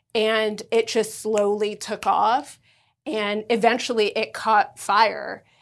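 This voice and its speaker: Speaking very slowly in a flat monotone, a woman with a fairly high pitch and an American accent is heard on a very clean recording with a silent background. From Los Angeles, US. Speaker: pet accessory brand founder. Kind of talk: casual chat.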